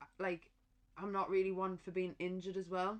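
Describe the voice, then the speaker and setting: Talking at a very fast pace, a woman with a Durham accent speaks at a medium pitch. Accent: Durham twang. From northern England, County Durham. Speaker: professional boxer. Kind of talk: casual chat.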